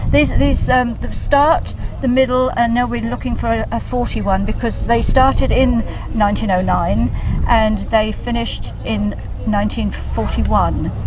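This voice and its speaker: Noticeable background noise and audible room echo accompany a woman's speech. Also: moderate pace. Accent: English. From England. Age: 70s. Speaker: classic car owner. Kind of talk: casual interview. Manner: halting.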